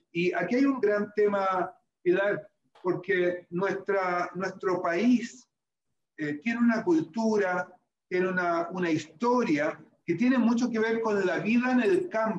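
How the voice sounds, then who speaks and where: High in pitch, a man speaks with ordinary pitch variation. His pace is very slow. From Chile, Maule coastal dryland. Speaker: government official. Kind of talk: interview.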